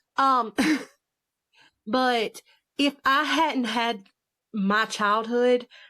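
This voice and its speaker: In a strong Southern US accent, a woman speaks with a bright, sharp tone and lively intonation on a very clean recording with a silent background. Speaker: author. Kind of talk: casual chat.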